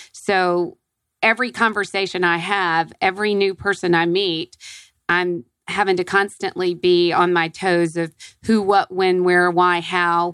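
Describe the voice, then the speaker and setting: Very clean and silent in the background, the recording is dry and close with no echo. A woman speaks at medium pitch and a fairly slow pace, with very even loudness and monotone, flat intonation. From Atlanta, Georgia. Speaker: business development consultant. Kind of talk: radio interview. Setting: radio studio.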